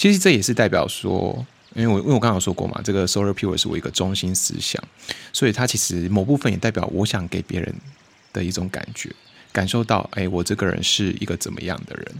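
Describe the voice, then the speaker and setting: A man with a Taiwanese accent, fairly low in pitch, at a very fast pace with ordinary pitch variation. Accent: Taiwanese Mandarin. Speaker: podcast host. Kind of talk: casual solo chat.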